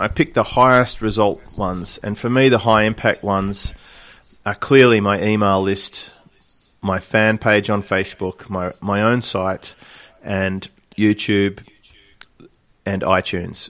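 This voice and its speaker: An Australian accent, fairly slow, fairly even in intonation, with long, frequent pauses. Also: man, fairly low pitch for a man. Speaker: online business coach. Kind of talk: interview. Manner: relaxed.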